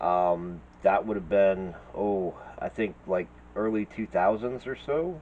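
The voice moves at a very slow pace over light background noise. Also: man. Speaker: artist vlogger. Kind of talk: casual vlog chat. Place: home room.

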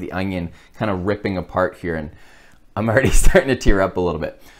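Fairly quick pace from a man, quiet background behind him. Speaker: cooking show host. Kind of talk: tutorial. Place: kitchen.

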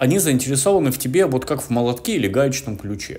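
Lively intonation and an animated tone at a moderate pace. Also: man. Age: 30s. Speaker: video blogger and music tutor; video blogger, music tutor. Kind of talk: motivational monologue. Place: home room. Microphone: camera far.

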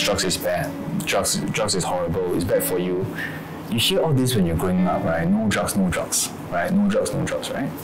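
The pace is moderate. Clear music sounds behind the voice. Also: man. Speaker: actor in the film. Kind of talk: interview answer. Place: office.

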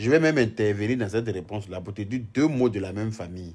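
Against a quiet background, a man talks at a fairly quick pace with a fairly low pitch and ordinary pitch variation. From Côte d'Ivoire. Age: 30s. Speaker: social media live streamer. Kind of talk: casual live stream chat. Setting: live video stream. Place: home room. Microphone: phone near.

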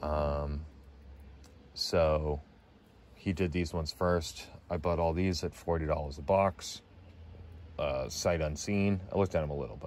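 A man with an extremely low pitch and a slightly mellow tone speaks at a fairly slow pace, with long, frequent pauses. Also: ordinary pitch variation.

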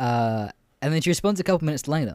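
With an Australian accent and lively intonation, the voice comes through dry and close with no echo in a very clean recording over a silent background. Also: man. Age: 20s. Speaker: podcaster. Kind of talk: casual monologue. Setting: bedroom.

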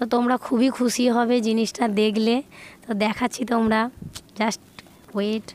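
A woman speaks at a fairly high pitch with monotone, flat intonation. Her loudness stays very even. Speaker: lifestyle vlogger. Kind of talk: casual vlog to viewers.

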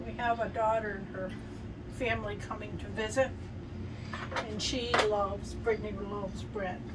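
The speech keeps a moderate pace while loud background noise sits beneath it. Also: woman. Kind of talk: casual cooking tutorial chat. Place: kitchen. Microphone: camera far.

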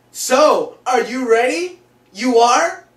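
A man speaks very slowly at an extremely high pitch with ordinary pitch variation. Audible room echo surrounds his voice. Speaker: teen sketch comedian. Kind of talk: comedy skit acting. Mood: mock distress in last clip. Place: home room. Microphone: camera far.

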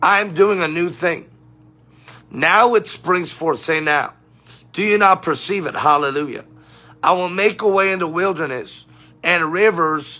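A man's high voice at a fairly slow pace, with ordinary pitch variation, long, frequent pauses and music in the background. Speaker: preacher livestreaming. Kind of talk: sermon-style livestream talk. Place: home room. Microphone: phone near.

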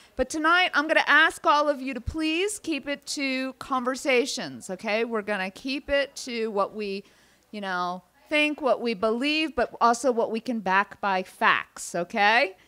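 Speaking at a fairly slow pace, a woman's voice sits high in pitch. Her tone is bright and sharp, with lively intonation. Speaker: event organizer. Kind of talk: event introduction. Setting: stage with audience. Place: hall. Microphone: handheld.

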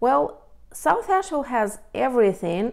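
The setting is quiet. A woman talks at a fairly slow pace. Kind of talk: casual informative talk to camera. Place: home room. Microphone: lapel.

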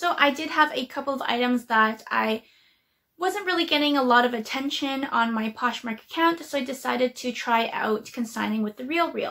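A raised, projected voice with a bright, sharp tone moves at a moderate pace. Its pitch variation is ordinary, and the background is quiet. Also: woman, high pitch for a woman. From Canada. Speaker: YouTuber, casual clothing reseller; casual reseller. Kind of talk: casual vlog tutorial. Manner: hesitant, frequent um fillers. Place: home room. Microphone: webcam.

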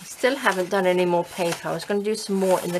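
A woman talks with fairly even intonation over noticeable background noise. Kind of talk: casual crafting tutorial chat. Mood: relaxed, cheerful.

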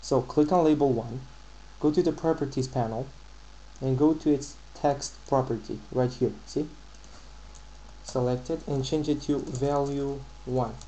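Fairly slow and marked by long, frequent pauses, a man speaks at medium pitch with fairly even intonation. His tone is dark, mellow and somewhat breathy. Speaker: programming tutorial maker. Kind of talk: screen-recorded software tutorial.

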